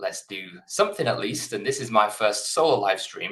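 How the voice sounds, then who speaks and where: In an English accent, a man speaks at a moderate pace. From England. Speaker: software developer and co-founder. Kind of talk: live coding stream. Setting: live stream from home office. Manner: casual, hesitant with fillers.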